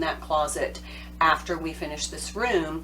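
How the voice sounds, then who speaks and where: A woman talks against noticeable background noise. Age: 50s. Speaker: home organizing advisor. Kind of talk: tutorial. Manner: casual, conversational.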